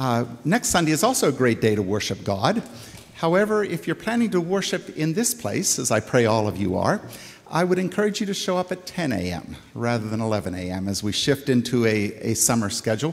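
A man speaks fairly quickly, his pitch swinging very widely. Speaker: minister. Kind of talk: church announcements before sermon. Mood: warm, lightly humorous. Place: church. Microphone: podium.

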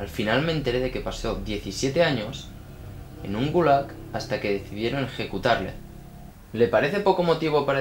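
At a moderate pace, the speech carries audible room echo and light background noise. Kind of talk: acted film dialogue. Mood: tense, defiant confession. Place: home room.

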